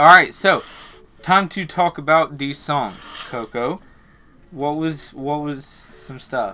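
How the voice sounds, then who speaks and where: Over music in the background, a man speaks at a very slow pace in a fairly high pitch with ordinary pitch variation, big swings in loudness, and long, frequent pauses. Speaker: music reaction video host. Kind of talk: casual reaction chat. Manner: mumbling, filler words.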